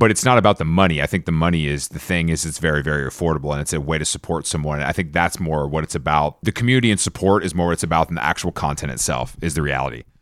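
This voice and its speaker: A man's very deep, low voice with vocal fry, ordinary pitch variation, a very fast pace and hardly any pauses. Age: 30s. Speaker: fashion consultant. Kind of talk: interview. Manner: casual.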